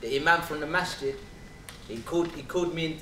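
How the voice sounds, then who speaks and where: A man with a London accent at a fairly quick pace, audible room echo and light background noise. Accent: London English, multicultural London. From England, south London. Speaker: spoken word performer. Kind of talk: testimony. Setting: stage with audience. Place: hall.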